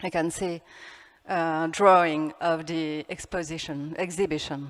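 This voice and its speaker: A woman in a French accent, at a very slow pace. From France. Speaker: architect. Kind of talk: conference talk. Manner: halting.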